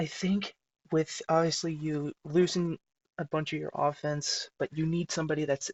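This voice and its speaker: A man whispering at a moderate pace. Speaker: sports video creator. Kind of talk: casual commentary.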